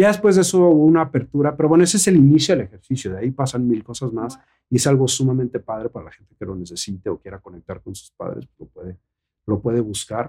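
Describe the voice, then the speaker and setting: Speaking at a very fast pace, a man uses a dark, mellow tone with very wide pitch swings and big swings in loudness. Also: medium pitch for a man. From Mexico. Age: 40s. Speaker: actor and model. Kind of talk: casual chat.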